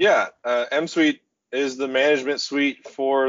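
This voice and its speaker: An ordinary speaking voice from a man with an American accent, medium in pitch, with ordinary pitch variation. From Oklahoma City, US. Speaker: construction software company executive. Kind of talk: podcast interview. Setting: video call.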